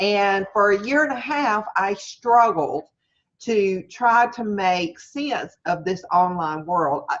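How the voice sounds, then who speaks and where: Speaking at a medium pitch, a woman talks with a Southern US accent. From US South, Mississippi. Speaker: online marketing coach. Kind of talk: webinar lecture. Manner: casual, hesitant with fillers; straightforward.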